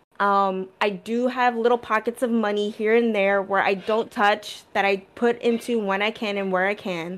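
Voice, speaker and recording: A woman's plain, everyday voice at medium pitch and a fairly slow pace, with fairly even intonation on a very clean recording with a silent background. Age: 30s. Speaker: podcast co-host. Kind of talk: casual chat.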